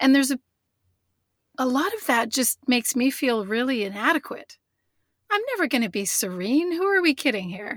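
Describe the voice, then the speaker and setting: A woman with a high voice speaks at a moderate pace, her pitch swinging very widely, with long, frequent pauses. The sound is dry and close, with no echo. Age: 40s. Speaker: author. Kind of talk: interview.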